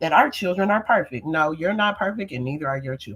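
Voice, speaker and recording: Speaking at a fairly quick pace, a woman sounds animated and somewhat breathy, with lively intonation. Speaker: livestreamer. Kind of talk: casual livestream monologue. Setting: livestream.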